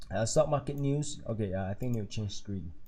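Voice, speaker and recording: Soft-spoken and somewhat breathy, a man with a Singaporean accent talks at a medium pitch in a dark, mellow tone with ordinary pitch variation. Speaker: stock market YouTuber. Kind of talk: live stream commentary. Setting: live stream at home at night. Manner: casual, hesitant with fillers.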